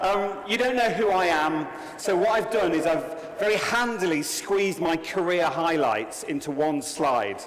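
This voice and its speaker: The speech moves at a moderate pace with lively intonation. Noticeable background noise and audible room echo surround it. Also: man. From England. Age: 40s. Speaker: conference speaker. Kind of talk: keynote talk. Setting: stage with audience. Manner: animated.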